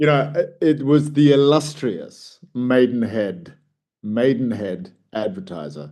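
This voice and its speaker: The man's tone is dark and mellow. He speaks at a very slow pace with lively intonation. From southern England. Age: 50s. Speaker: coach and public speaker. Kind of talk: casual chat.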